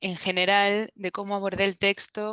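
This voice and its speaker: A woman speaks at a fairly slow pace in a Galician accent. The sound is dry and close with no echo, over a quiet background. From Galicia, Spain. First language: Galician (speaking Spanish). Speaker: translator. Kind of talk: interview. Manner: halting.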